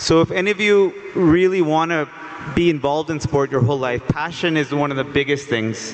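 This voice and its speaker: Talking fairly quickly with an American accent, a man uses a fairly high pitch and ordinary pitch variation over noticeable background noise. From United States. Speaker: sports education executive. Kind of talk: panel discussion. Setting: stage with audience.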